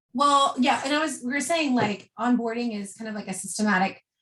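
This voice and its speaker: Her pace fairly quick, a woman talks with ordinary pitch variation and a somewhat breathy quality. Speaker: network marketing team leader. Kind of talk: group business call. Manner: fast.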